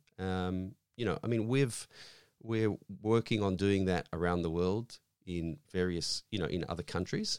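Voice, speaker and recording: Very deep, low male voice with an Australian accent, ordinary pitch variation, a moderate pace, and a dry, close sound with no echo. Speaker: foundation representative. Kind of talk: interview. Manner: halting.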